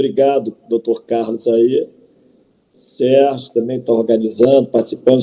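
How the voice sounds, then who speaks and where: A man's dark, mellow tone at a fairly slow pace. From Rio de Janeiro, Brazil. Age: 60s. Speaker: mayoral candidate. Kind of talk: campaign presentation.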